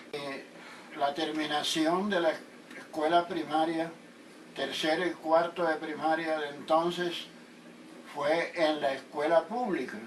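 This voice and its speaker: A man at a fairly high pitch with fairly even intonation, speaking at a very slow pace with long, frequent pauses, over noticeable background noise. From Colombian Caribbean coast, Atlántico (Sabanalarga). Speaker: interviewee recounting his life. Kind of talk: interview.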